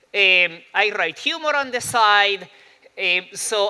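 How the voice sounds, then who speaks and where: A man speaks in a raised, projected voice with lively intonation. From Argentina. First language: Spanish. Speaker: psychology professor and speaker. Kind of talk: talk to a live audience. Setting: stage with audience. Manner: humorous, conversational with fillers.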